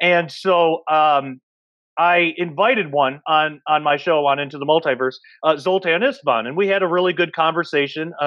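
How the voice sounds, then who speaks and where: A man's plain, everyday voice, fairly high in pitch, at a moderate pace with ordinary pitch variation over a quiet background. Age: 30s. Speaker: podcast host and researcher. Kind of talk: casual panel discussion. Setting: video call. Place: home room. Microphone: earbuds.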